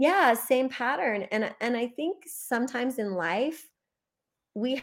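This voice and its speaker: This woman has a plain, everyday voice, fairly high in pitch, with lively intonation at a fairly slow pace. The recording is very clean, with a silent background. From US Midwest. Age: 40s. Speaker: business coach. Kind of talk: interview.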